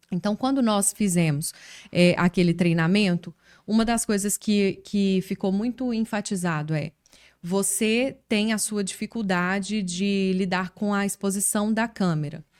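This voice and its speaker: A woman with a strong Minas Gerais accent, medium in pitch and relaxed in tone, fairly even in intonation and fairly slow in pace, on a very clean recording with a silent background and a dry, close sound with no echo. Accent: strong Minas Gerais (mineiro). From Minas Gerais, Brazil. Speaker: journalist and communication coach. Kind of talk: casual interview chat. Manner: relaxed, conversational with fillers.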